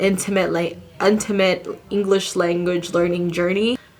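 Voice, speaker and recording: There is noticeable background noise and audible room echo. Through it, a woman speaks at medium pitch with fairly even intonation. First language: not English. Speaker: content creator. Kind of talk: casual sit-down monologue.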